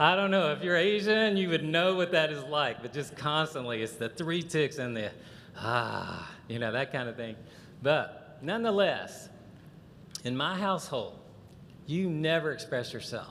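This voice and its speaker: With a Southern US accent, a man talks in a fairly high voice with lively intonation, and the room echo is audible. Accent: Southern drawl. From US South, Chattanooga, Tennessee. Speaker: conference speaker. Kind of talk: lecture. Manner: animated.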